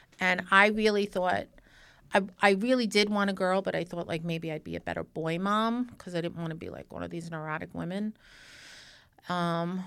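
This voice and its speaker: An ordinary speaking voice moves at a fairly quick pace in a very clean recording with a silent background. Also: woman. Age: 50s. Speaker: podcast host. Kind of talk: casual chat. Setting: studio.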